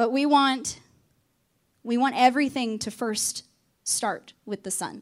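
A woman talks with a high pitch. Her pace is fairly slow, with ordinary pitch variation. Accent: Southern US. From Arkansas. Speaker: campus ministry staff. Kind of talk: sermon.

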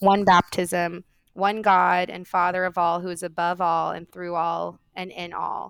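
At a fairly slow pace, a woman with a Californian accent speaks at a medium pitch with fairly even intonation in a very clean recording with a silent background. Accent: General American, Californian. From US West Coast, Orange County, California. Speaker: seminary professor. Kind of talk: interview.

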